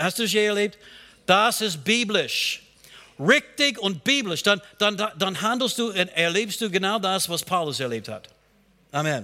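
Projecting a raised voice with a bright, sharp tone, a man with a high pitch speaks at a fairly slow pace, using lively intonation and long, frequent pauses. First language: not German (speaking German). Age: 60s. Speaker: pastor. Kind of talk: sermon. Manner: halting.

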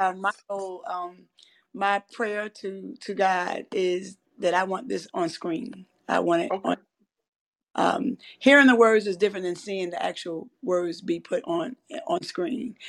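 A woman at a medium pitch with a plain, everyday voice, a fairly slow pace and ordinary pitch variation. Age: 40s. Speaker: author and podcast host. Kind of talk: reading aloud from her book, with talk. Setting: live audio chat room, online.

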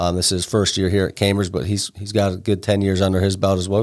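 With an American accent, a man speaks in a fairly low, monotone, flat voice on a very clean recording with a silent background. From northeast Ohio (Alliance, Stark County). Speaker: high school football coach. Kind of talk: casual interview. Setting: studio.

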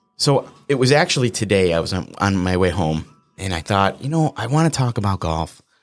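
With music in the background, a man talks fairly quickly in a fairly low voice that swings very widely in pitch. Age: 40s. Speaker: podcast host. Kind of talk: casual chat.

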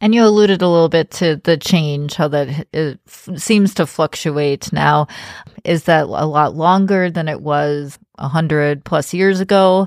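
A woman's very deep, low-pitched voice with ordinary pitch variation and a fairly slow pace, dry and close with no echo, on a very clean recording with a silent background. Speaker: podcast host. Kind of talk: casual religious discussion.

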